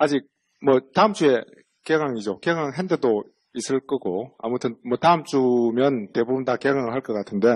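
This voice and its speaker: A strong Busan accent at a moderate pace, with ordinary pitch variation. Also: man, medium pitch for a man. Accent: strong Busan (Gyeongsang) dialect. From Busan, South Korea. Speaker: central bank economist. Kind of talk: lecture. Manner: casual, conversational with fillers.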